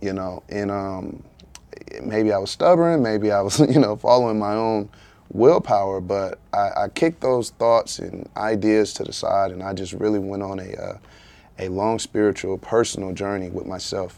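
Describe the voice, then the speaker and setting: A man with a fairly low pitch and a dark, mellow tone talks at a moderate pace, his loudness swinging widely while his pitch varies in an ordinary way. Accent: Eastern North Carolina. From Eastern North Carolina, US South. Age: 30s. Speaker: author and entrepreneur, former college football player. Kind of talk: casual podcast interview.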